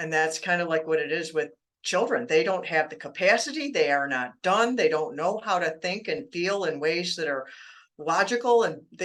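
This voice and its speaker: Over music in the background, a woman with a fairly low pitch speaks at a moderate pace with lively intonation. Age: 60s. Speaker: author on childhood trauma. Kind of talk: interview. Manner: conversational.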